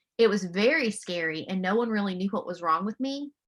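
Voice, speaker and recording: Loud and animated, a woman speaks at a moderate pace and medium pitch with ordinary pitch variation and a bright, sharp tone. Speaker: mental health counselor. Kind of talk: webinar presentation. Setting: video call.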